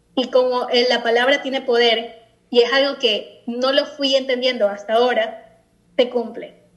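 Her pitch is high, and her pace is fairly slow. The woman's intonation is monotone and flat. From Ecuador. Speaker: guest sharing personal story. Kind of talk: testimony. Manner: halting.

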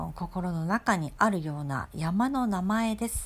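Very wide pitch swings mark this woman's voice as she talks at a very slow pace. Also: very clean recording, silent background. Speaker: podcast host. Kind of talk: solo podcast monologue. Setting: at home. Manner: hesitant, many fillers.

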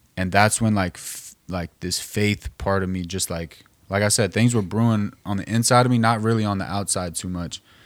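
A man with an American accent has a plain, everyday voice at a fairly low pitch. He talks at a moderate pace with fairly even intonation and hardly any pauses. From Northern California. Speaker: music producer and artist. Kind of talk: casual chat.

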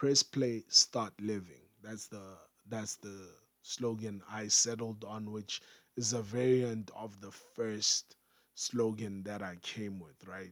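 Very slowly and in a flat monotone, a man with a fairly low pitch speaks while his loudness swings widely. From Africa. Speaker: podcast host. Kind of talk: solo podcast tutorial.

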